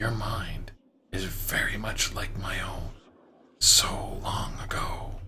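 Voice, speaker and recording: A man whispers in a put-on character voice. His pace is very slow. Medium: game stream. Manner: cryptic, measured, calm.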